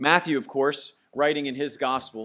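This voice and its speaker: Bright and sharp in tone, a man's voice moves at a moderate pace. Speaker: preacher. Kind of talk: sermon. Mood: calm, solemn. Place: church. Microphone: podium.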